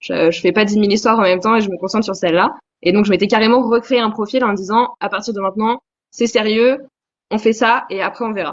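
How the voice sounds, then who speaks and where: A woman talks at a very fast pace with a fairly high pitch and fairly even intonation. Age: 20s. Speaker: novelist. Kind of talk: interview.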